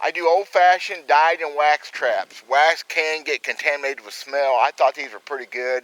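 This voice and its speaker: Through noticeable background noise, a man talks with hardly any pauses. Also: fairly high pitch for a man, ordinary pitch variation, moderate pace, dry, close sound with no echo. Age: 50s. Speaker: trapper and outdoors video host. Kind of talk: casual outdoor vlog tutorial. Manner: folksy, plainspoken.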